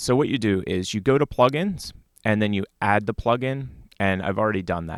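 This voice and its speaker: Lively intonation marks this man's speech at a moderate pace. The sound is dry, with no echo and a quiet background. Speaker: live streaming tech show host. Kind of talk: tutorial. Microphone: studio mic.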